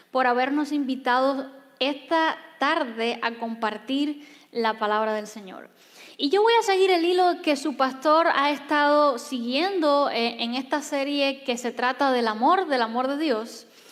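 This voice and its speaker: A woman talks at a fairly slow pace with a high pitch and ordinary pitch variation. The room echo is audible. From Cuba. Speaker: pastor. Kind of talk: sermon. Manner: soft-spoken.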